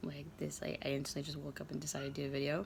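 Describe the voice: A very fast, raspy delivery with vocal fry and little pitch movement. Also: woman, low pitch for a woman.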